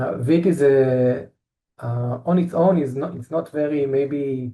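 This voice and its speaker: With an Israeli accent, a man speaks at a fairly high pitch in a dark, mellow tone. He keeps a fairly slow pace and ordinary pitch variation. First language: Hebrew. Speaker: engineer presenting company products. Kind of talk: technical presentation. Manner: halting, many fillers and repetitions.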